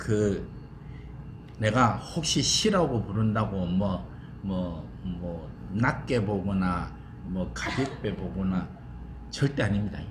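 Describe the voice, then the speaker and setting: In a room with audible echo, a man speaks very slowly at fairly low pitch, his voice swinging very widely in pitch between long, frequent pauses. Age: 70s. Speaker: seminary professor. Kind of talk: lecture. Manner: casual, chatty.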